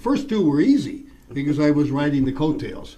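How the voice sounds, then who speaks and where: A man talks at a moderate pace. Audible room echo and noticeable background noise surround him. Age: 70s. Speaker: politician. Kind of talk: interview. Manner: halting, many fillers.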